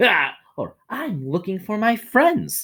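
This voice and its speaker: Using a put-on character voice, a man speaks very slowly at a high pitch, with very wide pitch swings. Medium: read story.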